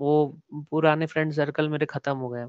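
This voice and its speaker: Over a quiet background, a man speaks at a fairly high pitch with a monotone, flat intonation and a dry sound with no echo. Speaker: artist; podcast guest. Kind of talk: casual interview. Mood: relaxed, reflective. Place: home room.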